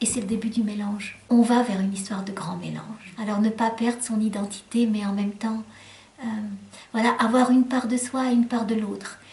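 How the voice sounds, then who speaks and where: A woman's fairly high, monotone, flat voice over noticeable background noise. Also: moderate pace. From Lebanon, French-speaking home, moved to France at 12. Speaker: children's book author. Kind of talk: interview. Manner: hesitant, many fillers.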